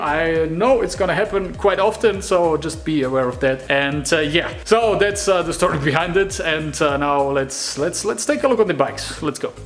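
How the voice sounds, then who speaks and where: Over music in the background, a man with a German accent talks at a moderate pace, with a fairly high pitch and ordinary pitch variation. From Germany, Munich. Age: 20s. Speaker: hobby motorcycle builder, vlogger. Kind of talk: casual vlog intro. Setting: home workshop. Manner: hesitant, many fillers.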